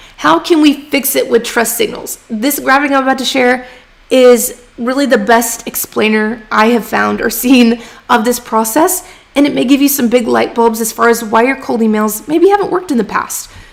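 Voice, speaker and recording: Over noticeable background noise, a woman talks at a moderate pace and a high pitch with ordinary pitch variation. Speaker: freelance writing coach. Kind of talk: livestream teaching with chat Q&A. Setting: live stream from home. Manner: casual, chatty.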